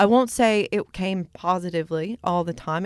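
A woman with an American accent speaks at medium pitch and a moderate pace with ordinary pitch variation, in a dry, close sound with no echo. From US Midwest, Michigan. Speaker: singer-songwriter and wellness coach. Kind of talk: casual interview chat.

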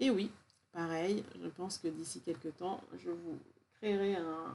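A woman talks fairly slowly, her tone dark and mellow. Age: 40s. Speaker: podcast host, wellness practitioner. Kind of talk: solo podcast monologue. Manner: warm, gentle.

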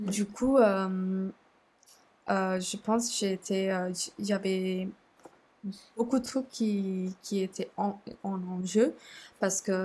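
Somewhat breathy and speaking at a very slow pace, a woman keeps a medium pitch and fairly even intonation. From Sri Lanka. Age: 20s. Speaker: communications officer and student. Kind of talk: casual interview conversation. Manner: halting, many hesitations.

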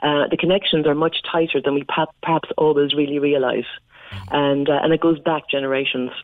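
A woman's very deep, low voice in a Cork accent, fairly quick in pace and fairly even in intonation. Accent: Irish (Cork). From Ireland. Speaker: Irish diaspora community leader. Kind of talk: radio interview. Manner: chatty.

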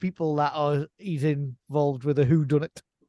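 The sound is dry and close, with no echo. A man with an unremarkable speaking voice talks at a fairly slow pace and a fairly high pitch. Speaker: podcast host. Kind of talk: casual banter.

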